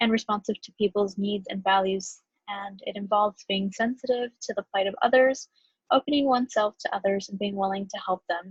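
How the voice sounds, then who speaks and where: Recorded dry and close with no echo, a woman speaks at a fairly quick pace and medium pitch. Her voice is somewhat breathy, with fairly even intonation. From US Mexican-American community. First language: Spanish. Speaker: graduate student. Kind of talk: class presentation. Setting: recorded video.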